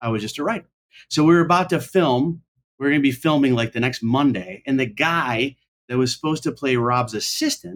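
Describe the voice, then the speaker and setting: This man has a plain, everyday voice at medium pitch, speaking at a fairly quick pace with lively intonation in an American accent. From upstate New York. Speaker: comedian. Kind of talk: casual chat.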